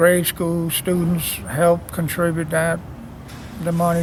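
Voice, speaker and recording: Amid noticeable background noise and audible room echo, a man speaks at a high pitch and a fairly slow pace. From New Orleans, Louisiana (Irish Channel). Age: 70s. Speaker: local musician and songwriter. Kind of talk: casual interview on location. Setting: outdoors on a street.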